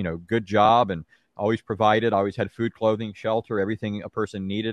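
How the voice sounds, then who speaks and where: A man speaks in a fairly low voice. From Southern California, Orange County. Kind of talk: testimony and Bible teaching.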